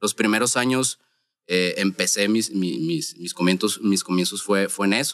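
This man talks at a fairly slow pace in a Sonoran accent, his pitch fairly low with ordinary variation. The sound is dry and close, with no echo. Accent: Sonoran Mexican. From Mexico, Sonora (Hermosillo). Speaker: wedding photographer. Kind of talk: casual chat.

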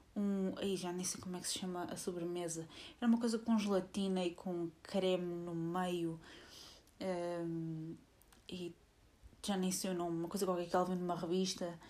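Speaking in a European Portuguese accent, a woman moves at a fairly slow pace with long, frequent pauses. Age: 20s. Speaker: podcaster. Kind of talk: casual monologue. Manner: hesitant, many fillers.

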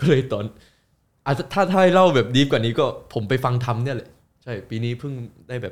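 In a plain, everyday voice, a man speaks at medium pitch with lively intonation on a very clean recording with a silent background. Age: 20s. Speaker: YouTuber. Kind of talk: casual chat.

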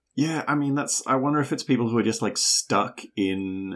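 Lively intonation in a New Zealand accent on a very clean recording with a silent background. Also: man. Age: 30s. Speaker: podcast co-host. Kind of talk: casual chat.

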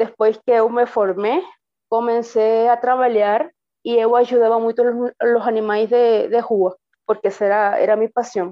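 A woman's fairly high voice at a fairly slow pace, with fairly even intonation and very even loudness. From Venezuela. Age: 30s. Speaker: veterinarian, migrant. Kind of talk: personal testimony. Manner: halting, with fillers.

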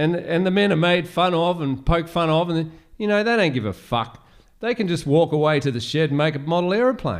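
The speaker has an Australian accent. The pace is fairly quick and the intonation lively. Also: man, high pitch for a man. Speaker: podcaster. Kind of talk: rant-style monologue, conspiracy podcast. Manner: rambling, casual, defiant, sarcastic.

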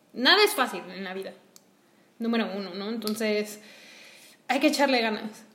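With big swings in loudness and long, frequent pauses, a woman speaks at a moderate pace in a fairly high pitch with ordinary pitch variation. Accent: Mexican. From Mexico. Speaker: podcast co-host, entrepreneur. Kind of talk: casual conversational podcast.

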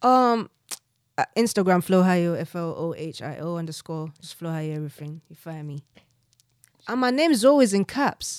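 In a dry, close sound with no echo, a woman speaks with lively intonation and big swings in loudness. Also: fairly low pitch for a woman, moderate pace. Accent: South London. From South East London, Nigerian heritage. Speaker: rapper. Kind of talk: casual chat.

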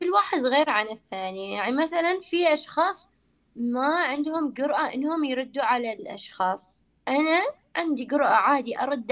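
The voice has lively intonation and a moderate pace. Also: woman. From Oman. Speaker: university graduate, former scholarship student. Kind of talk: casual chat.

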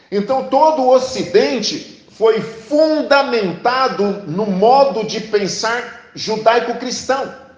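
Pitched extremely high, a man speaks at a very slow pace with ordinary pitch variation as the room echo is audible. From Brazil, Paraná (Sarandi, near Maringá). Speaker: pastor. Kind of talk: sermon.

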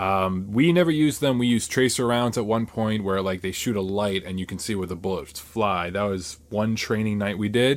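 Hardly pausing, a man in a plain, everyday voice speaks at a moderate pace with a fairly low pitch and ordinary pitch variation, captured on a very clean recording with a silent background. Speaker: YouTuber and army recruit. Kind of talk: casual chat.

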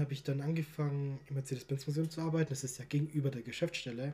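Somewhat breathy and fairly high in pitch, this man speaks with a dark, mellow tone and fairly even intonation. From Stuttgart, Germany. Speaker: football podcast host. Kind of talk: casual chat.

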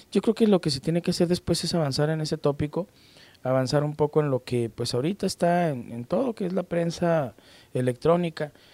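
Recorded very cleanly over a silent background, a man talks at a fairly quick pace in a fairly high pitch, his tone dark and mellow and the sound dry and close with no echo. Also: ordinary pitch variation. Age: 50s. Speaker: judge and novelist. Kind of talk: interview.

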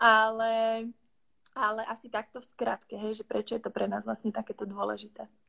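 A woman with a Czech accent and a fairly high pitch at a moderate pace, on a very clean recording with a silent background and a dry, close sound with no echo. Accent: Czech accent in Slovak. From Czech Republic. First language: Czech (speaking Slovak). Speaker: business consultant. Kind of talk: livestream interview.

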